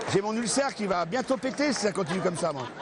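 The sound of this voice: Doing a put-on character voice, a man talks at a very fast pace in a hoarse, high pitch, with noticeable background noise.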